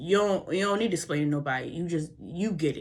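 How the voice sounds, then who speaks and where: A slight Baltimore accent with ordinary pitch variation. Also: woman. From US, Baltimore. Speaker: vlogger. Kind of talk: motivational vlog talk. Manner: fast; casual, halting.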